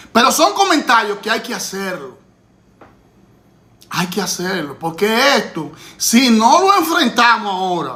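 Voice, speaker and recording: Over noticeable background noise, a man with a high pitch speaks in a raised, projected voice, animated and with very wide pitch swings, at a fairly slow pace with long, frequent pauses. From Dominican Republic. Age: 50s. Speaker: political commentator. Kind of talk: political commentary.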